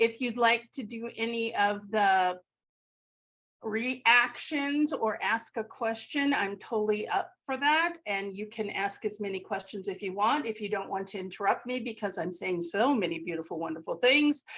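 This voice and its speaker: A woman's normal speaking voice, fairly high, with lively intonation and a moderate pace. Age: 60s. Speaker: elementary music teacher and author. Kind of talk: webinar presentation. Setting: video call.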